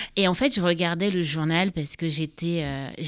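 The recording is very clean, with a silent background and a dry, close sound with no echo. Delivery is at a fairly slow pace with fairly even intonation. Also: woman. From Cameroon. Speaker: writer and mental health foundation founder. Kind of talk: radio interview. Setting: studio.

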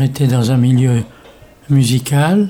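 Speaking at a very slow pace, a man uses a medium pitch and fairly even intonation, his tone dark and mellow and somewhat breathy. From Morocco. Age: 80s+. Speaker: day care centre visitor, retired medical rep. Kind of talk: interview. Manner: halting.

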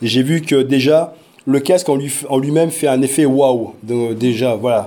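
Noticeable background noise sits behind a man's voice. He speaks at a moderate pace with a fairly high pitch and ordinary pitch variation. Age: 40s. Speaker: parent and virtual reality project lead. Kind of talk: interview. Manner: hesitant, many fillers.

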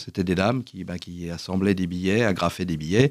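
In a very clean recording with a silent background, a man speaks in a very deep, low pitch. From France, Paris region. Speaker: association director. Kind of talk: radio interview. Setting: studio. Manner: halting, repeats words.

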